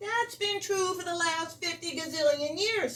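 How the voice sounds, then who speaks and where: At a moderate pace, a woman puts on a shrill, squeaky character voice with an extremely high pitch. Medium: read story. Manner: indignant, boastful.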